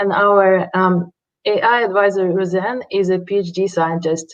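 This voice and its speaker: Speaking in a flat monotone at a moderate pace, a woman with a medium-pitched voice has a non-native accent. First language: not English. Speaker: startup founder. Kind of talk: pitch presentation. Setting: livestreamed pitch event. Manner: halting.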